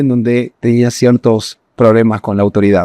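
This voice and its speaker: Dark, mellow tone from a man, captured dry and close with no echo. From northern Argentina (Salta). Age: 30s. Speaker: ecommerce entrepreneur. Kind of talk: personal story monologue.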